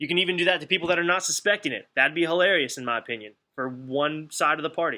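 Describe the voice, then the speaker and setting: A man with an American accent speaks in a bright, sharp tone at a fairly high pitch. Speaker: leadership coach and motivational speaker. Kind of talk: webinar presentation. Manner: fast; animated.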